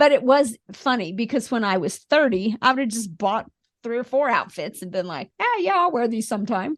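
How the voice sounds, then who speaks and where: A woman with an American accent and an ordinary speaking voice talks at a fairly quick pace and a fairly high pitch. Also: lively intonation. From Missouri (Springfield). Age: 60s. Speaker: former nurse, host's wife. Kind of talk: casual chat.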